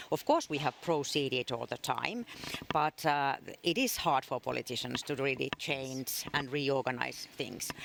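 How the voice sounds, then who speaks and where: Noticeable background noise runs beneath a fairly slow delivery. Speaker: government health official. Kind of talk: interview. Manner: hesitant, many fillers.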